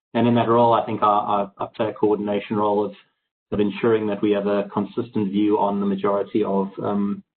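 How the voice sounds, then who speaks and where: Speaking very fast in a monotone, flat intonation, a man with a fairly low pitch talks with a South African accent. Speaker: accounting firm partner. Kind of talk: webinar panel discussion.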